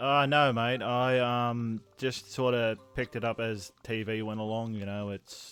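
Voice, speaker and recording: A man with an American accent talks fairly slowly at a medium pitch, with hardly any pauses. His intonation is monotone and flat. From Australia. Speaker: gaming streamer. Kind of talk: casual chat.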